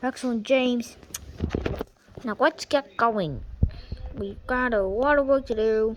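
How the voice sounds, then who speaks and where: A woman uses a put-on character voice pitched high. She goes at a fairly slow pace with long, frequent pauses. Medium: read story. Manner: throat-clearing, authoritative.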